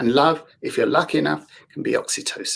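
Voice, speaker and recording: A man speaks at a moderate pace in a London accent. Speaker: therapist with a yoga background. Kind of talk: panel discussion. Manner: hesitant, with fillers.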